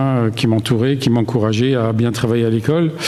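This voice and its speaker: Noticeable background noise and audible room echo surround a man's voice. He speaks at a medium pitch with fairly even intonation. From Alsace, Strasbourg. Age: 60s. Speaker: retired engineer giving church testimony. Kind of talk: testimony. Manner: hesitant, many fillers.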